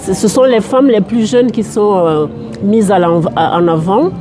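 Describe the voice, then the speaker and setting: Music plays in the background as a woman talks at a fairly slow pace with lively intonation. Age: 70s. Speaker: interviewee on health and ageing. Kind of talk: interview answers. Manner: halting, many repetitions and hesitations.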